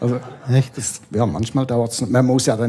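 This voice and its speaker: A man with a medium pitch talks at a moderate pace while noticeable background noise runs underneath. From Switzerland. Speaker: comic illustrator. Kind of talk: casual chat. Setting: bookshop bar.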